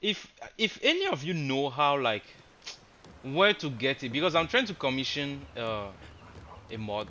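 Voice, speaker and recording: The speech moves at a moderate pace with very wide pitch swings. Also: man. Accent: non-native. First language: not English. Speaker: game streamer. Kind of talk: casual live stream chat. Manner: hesitant, many fillers.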